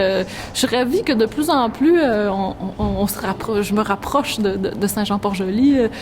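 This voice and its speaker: Noticeable background noise around a woman's voice, moderate in pace and ordinary in pitch variation. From Quebec City. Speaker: storyteller. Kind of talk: interview answer.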